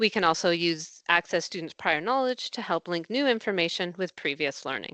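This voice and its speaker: A bright, sharp tone at a moderate pace, dry and close with no echo, over a quiet background. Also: woman. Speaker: language education consultant. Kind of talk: professional development presentation. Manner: clearly articulated.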